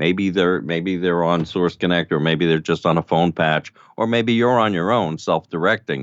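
Speaking with an American accent, the voice moves at a moderate pace with hardly any pauses, very even loudness and ordinary pitch variation. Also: man, very deep, low pitch for a man. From New York City (Brooklyn). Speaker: audio producer. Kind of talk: casual chat.

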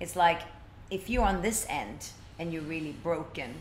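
A woman speaks with fairly low pitch and lively intonation. There is noticeable background noise and audible room echo. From Sweden (Stockholm). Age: 40s. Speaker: life coach. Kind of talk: interview.

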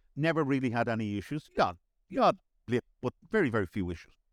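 Very fast speech with lively intonation, in a Dublin accent. The recording is very clean with a silent background and a dry, close sound with no echo. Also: man. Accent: Dublin Irish. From Dublin, Ireland. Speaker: managing director. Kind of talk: casual interview chat.

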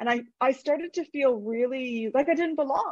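A woman's high voice with a Canadian accent, dry and close with no echo. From Canada. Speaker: author. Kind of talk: casual interview. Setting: video call.

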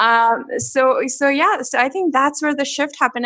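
A high-pitched woman's voice at a fairly slow pace, with ordinary pitch variation. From India. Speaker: dentist. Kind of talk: interview.

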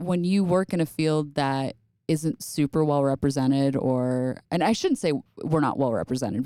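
Speaking with an American accent, a woman has a very deep, low pitch and a dark, mellow tone. Her pace is moderate, her pitch variation ordinary, and the sound dry and close with no echo. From upstate New York. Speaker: music therapist. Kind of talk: interview. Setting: studio.

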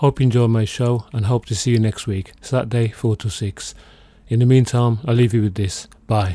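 A man with a dark, mellow tone speaks at a medium pitch and a moderate pace. His voice is somewhat breathy, and his intonation is fairly even. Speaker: radio host. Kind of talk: radio show host patter, station ID and sign-off, delivered over music. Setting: radio broadcast.

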